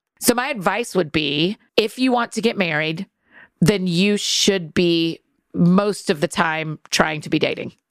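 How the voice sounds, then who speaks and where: A woman with an unremarkable speaking voice talks at a fairly slow pace, at a medium pitch with ordinary variation. The sound is dry and close, with no echo. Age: 40s. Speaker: author and podcaster. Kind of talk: casual chat. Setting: studio.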